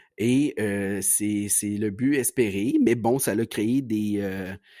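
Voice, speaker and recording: A man with a dark, mellow tone and ordinary pitch variation, in a dry, close sound with no echo and a very clean recording with a silent background. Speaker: podcast host. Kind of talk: monologue podcast. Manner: halting.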